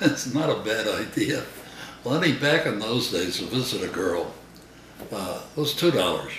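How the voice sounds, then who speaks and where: A man's pitch swings very widely as he speaks at a moderate pace against noticeable background noise. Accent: American. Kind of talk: storytelling interview answer.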